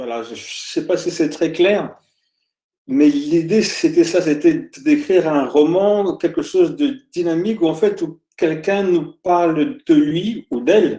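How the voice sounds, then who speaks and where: A high-pitched male voice at a very slow pace, with very wide pitch swings and big swings in loudness. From France, Île-de-France (born in Congo, moved at four). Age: 50s. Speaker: author. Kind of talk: interview. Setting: video call. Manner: hesitant, many fillers.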